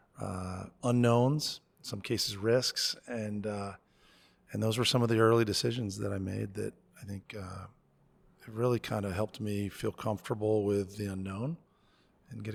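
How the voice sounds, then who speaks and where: A man with an American accent speaks in a normal speaking voice at a fairly low pitch and a moderate pace. His intonation is fairly even, and the recording is very clean with a silent background. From US Northeast, Connecticut near New York City. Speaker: college president. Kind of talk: podcast interview.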